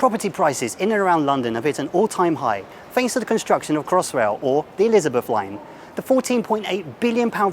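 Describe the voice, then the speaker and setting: Over noticeable background noise, a man with a fairly high pitch rushes at a very fast pace, his pitch swinging very widely. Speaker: TV presenter. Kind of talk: TV news segment intro.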